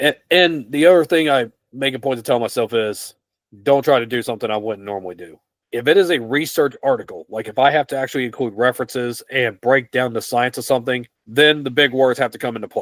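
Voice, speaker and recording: A man talks at a very fast pace with an American accent. His pitch is medium, with ordinary pitch variation. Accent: twang. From West Virginia, US. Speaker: fitness writer. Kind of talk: interview. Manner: plain, simple speech.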